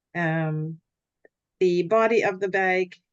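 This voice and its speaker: A woman with a Canadian accent speaks in a fairly low pitch. The sound is dry and close, with no echo. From Canada. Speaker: hobby weaver, guild member. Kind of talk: show and tell presentation. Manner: halting, many fillers.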